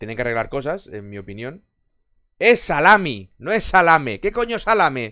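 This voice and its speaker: At a moderate pace over a quiet background, a man speaks with very wide pitch swings and big shifts in loudness. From Barcelona, Spain; Spain. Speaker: gaming streamer. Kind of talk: casual chat with live stream viewers. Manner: animated. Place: home room. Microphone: headset.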